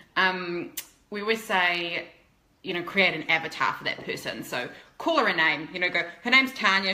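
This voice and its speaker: Amid noticeable background noise, a woman with a New Zealand accent speaks at a fairly low pitch with ordinary pitch variation. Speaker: fashion blogger and influencer. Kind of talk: interview. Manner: fast.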